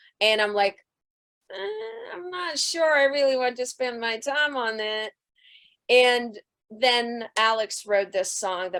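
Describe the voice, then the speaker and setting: A woman speaks with a slight Russian accent and ordinary pitch variation. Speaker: rock band singer. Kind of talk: interview. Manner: loud.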